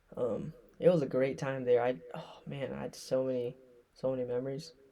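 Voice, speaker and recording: Moderate-paced, fairly even speech from a man at medium pitch, noticeable background noise underneath. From US (moved from Thailand at five). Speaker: vlogger. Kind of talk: casual storytelling vlog. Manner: unscripted, off the cuff. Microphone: echo.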